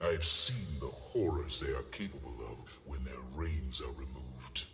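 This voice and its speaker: A man puts on a character voice at a moderate pace. Background noise is clearly audible. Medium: video game. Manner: formal, measured.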